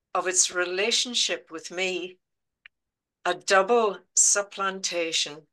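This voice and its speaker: In a strong Belfast accent, a woman speaks very slowly at medium pitch with a bright, sharp tone. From Northern Ireland, Belfast. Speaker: poet. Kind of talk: poetry reading. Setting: video call.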